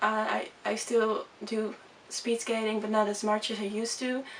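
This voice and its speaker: A woman with a Dutch accent, her pitch fairly high, over noticeable background noise. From Netherlands. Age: 20s. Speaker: vlogger. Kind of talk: casual chat. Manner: fast; halting.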